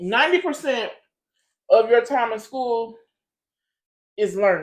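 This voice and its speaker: On a very clean recording with a silent background, a woman talks at a fairly slow pace in a fairly high pitch with lively intonation. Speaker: podcast host, mother. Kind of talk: casual chat. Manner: loud.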